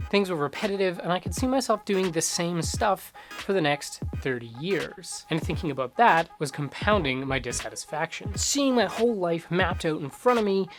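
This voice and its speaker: A man's high-pitched voice with very wide pitch swings, a moderate pace and hardly any pauses, music in the background. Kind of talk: personal vlog voice-over.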